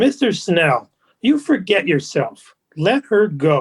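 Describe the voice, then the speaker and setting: A man uses a put-on character voice, pitched high. He goes at a fairly slow pace with very wide pitch swings. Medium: audio drama. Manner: stern, menacing.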